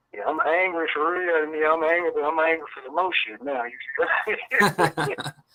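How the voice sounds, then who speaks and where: A man with a fairly high voice talks at a moderate pace, his pitch moving in the usual way while his loudness swings widely over noticeable background noise. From Memphis, Tennessee. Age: 40s. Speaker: music producer. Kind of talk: casual interview. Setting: live radio-style interview. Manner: halting, many fillers.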